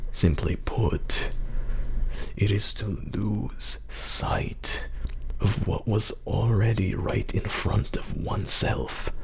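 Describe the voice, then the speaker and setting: A man whispers in a put-on character voice at a very slow pace. Clear background noise is audible. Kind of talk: mystic fortune teller. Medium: read story. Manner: measured, solemn.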